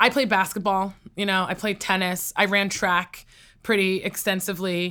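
A woman talks in a New York accent with a bright, sharp tone at medium pitch. Her intonation is monotone and flat, and her pace is moderate. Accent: American (New York). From New York State, US (Poughkeepsie). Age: 20s. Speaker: entrepreneur and inventor. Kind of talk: interview.

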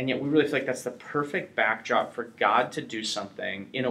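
A man with a plain, everyday voice, ordinary pitch variation and a fairly quick pace. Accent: American. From US Upper Midwest (North Dakota). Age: 30s. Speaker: evangelist. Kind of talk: interview. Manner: casual, filler-heavy.

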